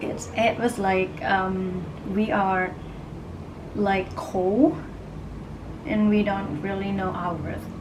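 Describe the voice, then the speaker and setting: A woman with a Thai accent speaks at a very slow pace with long, frequent pauses, a medium pitch and fairly even intonation, amid noticeable background noise and audible room echo. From Thailand. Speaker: astrology and oracle card reader. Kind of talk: live stream casual talk. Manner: halting, many fillers.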